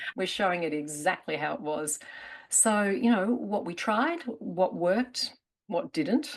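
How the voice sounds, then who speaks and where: A woman in an Australian accent at a fairly slow pace, her pitch swinging very widely. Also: medium pitch for a woman. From Australia, Melbourne. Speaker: therapist presenter. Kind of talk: conference promo chat.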